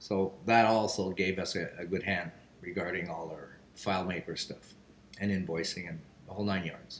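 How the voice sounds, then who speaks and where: This is a man speaking. He has a Quebec accent. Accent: French-Canadian accent in English. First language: French. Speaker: business general manager. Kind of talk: video testimonial.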